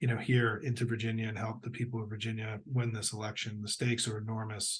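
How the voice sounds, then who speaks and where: A man with an American accent speaks at a fairly quick pace in a medium pitch, his voice somewhat breathy and his intonation flat and monotone. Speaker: political strategist giving briefings. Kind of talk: political briefing to supporters.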